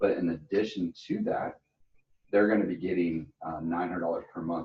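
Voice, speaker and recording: A man talks at a fairly quick pace in a very deep, low pitch. His voice is somewhat breathy, with ordinary pitch variation. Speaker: insurance sales trainer. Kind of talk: training session. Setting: office meeting, streamed. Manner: fast.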